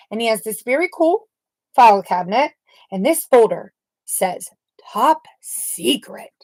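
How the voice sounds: In a natural reading voice with lively intonation, the speaker reads against a quiet background.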